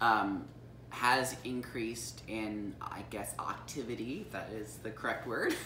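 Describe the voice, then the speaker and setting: Audible room echo surrounds a woman with a very deep, low pitch who speaks at a fairly slow pace with fairly even intonation. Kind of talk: casual chat. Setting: on a couch at home.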